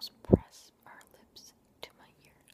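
Soft-spoken, a woman is whispering. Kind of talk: soft-spoken casual Q&A chat. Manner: soft close-mic whisper. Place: home room. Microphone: webcam.

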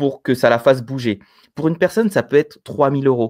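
A man talks with an ordinary speaking voice at a medium pitch. His pace is fairly quick, with ordinary pitch variation, and the background is quiet. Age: 30s. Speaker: business coach and entrepreneur; guest. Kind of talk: interview on online business. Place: home room. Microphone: video call.

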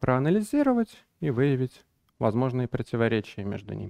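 Behind him the background stays quiet. The man talks at a fairly quick pace. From Belarus, Minsk; Belarus. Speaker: business analysis lead and trainer; trainer. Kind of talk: conference talk. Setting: stage with audience. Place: hall. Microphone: headset.

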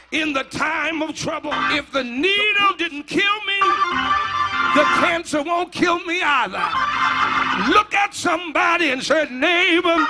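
A man talks at a very slow pace over loud background music. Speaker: preacher. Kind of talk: whooping sermon delivery, call and response with congregation. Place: church. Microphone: handheld.

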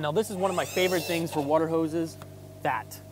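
Noticeable background noise accompanies a man speaking at a fairly quick pace. The sound is dry, with no echo. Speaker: RV salesperson. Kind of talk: casual walkaround tutorial. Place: street.

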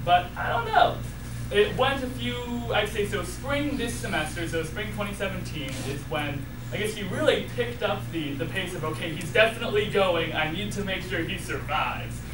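There is noticeable background noise as a man talks. He keeps a moderate pace. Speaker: college student. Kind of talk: personal eulogy at a funeral, telling a family story about his late mother. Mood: grieving but warm storytelling. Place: hall. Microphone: camera far.

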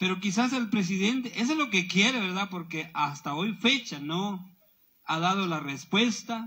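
Against a quiet background, a man with a high pitch and a bright, sharp tone projects his raised voice at a fairly slow pace. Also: lively intonation. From Guatemala. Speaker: protest emcee. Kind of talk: protest speech. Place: tent. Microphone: handheld.

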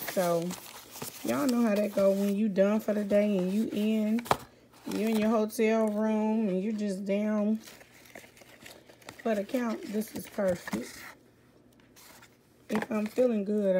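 A woman at a fairly slow pace with fairly even intonation, long, frequent pauses and noticeable background noise. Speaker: vlogger. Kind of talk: casual vlog chat. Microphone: phone near.

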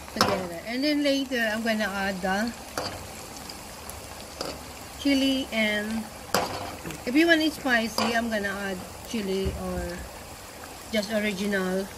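With loud background noise behind her, a woman speaks at a fairly slow pace, leaving long, frequent pauses. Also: ordinary pitch variation. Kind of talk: cooking tutorial chat. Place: garden. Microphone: phone near.

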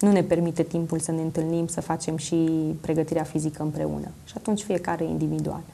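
Speaking fairly quickly, a woman uses a fairly low pitch with vocal fry, a dark, mellow tone, and monotone, flat intonation. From Romania, Zalău; Romania. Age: 20s. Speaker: coach, talk show guest. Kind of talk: TV interview. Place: studio. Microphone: lapel.

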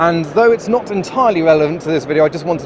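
A man speaks with ordinary pitch variation. Noticeable background noise runs underneath. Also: dry sound with no echo. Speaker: car vlogger. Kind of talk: casual vlog chat. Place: hall. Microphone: phone near.

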